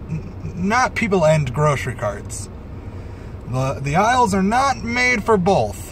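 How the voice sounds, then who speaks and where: A man talks at a fairly slow pace. The sound is dry with no echo, with light background noise. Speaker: vlogger. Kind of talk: casual vlog chat. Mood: wry, mildly exasperated. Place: car. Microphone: phone near.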